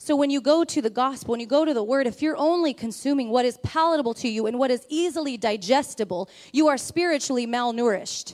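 A woman talks at a very fast pace with hardly any pauses. Her pitch is high, with ordinary pitch variation. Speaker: preacher. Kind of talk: sermon.

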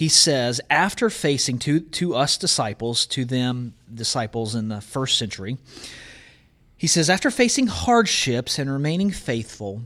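This man has a Southern US accent and a medium pitch. He speaks at a fairly slow pace. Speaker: college professor. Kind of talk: Bible teaching.

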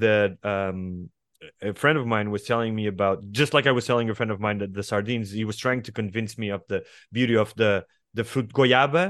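A man of medium pitch with a Portuguese accent. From Portugal. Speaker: writer. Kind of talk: casual chat. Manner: halting.

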